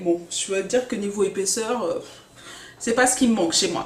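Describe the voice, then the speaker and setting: There is noticeable background noise in this clip. Through it, a woman's voice is heard. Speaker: hair care vlogger. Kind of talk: casual tutorial vlog.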